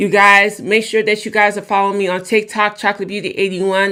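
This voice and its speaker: A woman speaks with a bright, sharp tone and monotone, flat intonation. The recording is very clean, with a silent background. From born in Jamaica, raised in the United States. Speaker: YouTube and TikTok livestreamer. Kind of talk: personal testimony on a livestream. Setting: livestream. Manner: hesitant, many fillers.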